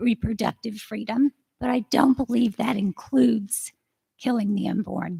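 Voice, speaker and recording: A woman's fairly high voice carries vocal fry. The sound is dry and close, with no echo. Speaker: public commenter. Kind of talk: public comment at county meeting. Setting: county commission meeting. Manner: halting.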